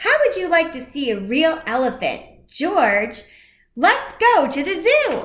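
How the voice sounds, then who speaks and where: A woman's put-on character voice, at an extremely high pitch with very wide pitch swings, at a fairly slow pace. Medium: read story.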